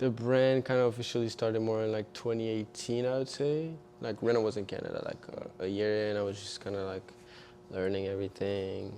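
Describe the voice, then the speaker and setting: Man at medium pitch with fairly even intonation, over noticeable background noise. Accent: French. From eastern France. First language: French. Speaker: fashion designer and model. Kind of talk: casual chat. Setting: studio.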